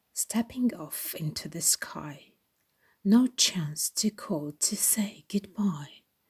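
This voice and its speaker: Speaking very slowly, a woman has a dark, mellow tone that is somewhat breathy. The sound is dry and close with no echo, on a very clean recording with a silent background. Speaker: library staff reader. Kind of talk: poem reading, rhyming children's-style verse.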